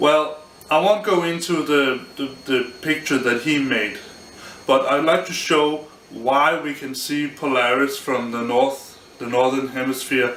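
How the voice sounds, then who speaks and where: Mumbling at a fairly slow pace with a non-native accent, a man speaks at medium pitch with fairly even intonation amid noticeable background noise. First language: not English. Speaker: amateur physics explainer. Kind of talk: informal physics lecture to camera. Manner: mumbling, hesitant, unscripted.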